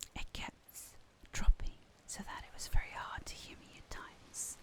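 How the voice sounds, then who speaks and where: A woman whispers at a fairly slow pace. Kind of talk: ASMR gaming video, casual talk. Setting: close microphone, home recording. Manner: whispered.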